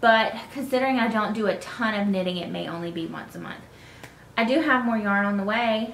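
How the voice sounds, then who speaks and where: A woman with a Southern US accent speaks at a fairly quick pace and a fairly high pitch. Her pitch varies in an ordinary way, with audible room echo and light background noise. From North Carolina. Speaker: knitting podcaster. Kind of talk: casual chat. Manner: hesitant, many fillers.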